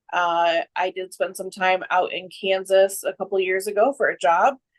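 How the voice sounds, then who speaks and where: A woman with an American accent speaks at a medium pitch and a moderate pace. Her intonation is fairly even, and the sound is dry and close with no echo. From Michigan, US Midwest. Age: 30s. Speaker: guest sharing addiction recovery story. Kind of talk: personal testimony in interview.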